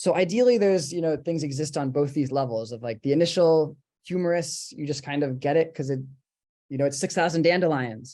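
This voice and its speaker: His voice has a dark, mellow tone and a fairly high pitch as this man speaks at a fairly quick pace. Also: ordinary pitch variation. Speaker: book artist. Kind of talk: live presentation and Q&A on video call. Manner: fast.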